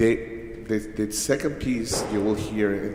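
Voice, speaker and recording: A man's fairly low voice in a Venezuelan accent, with noticeable background noise and audible room echo. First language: Spanish. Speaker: musician. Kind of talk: spoken introduction at a concert. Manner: halting, many fillers and restarts.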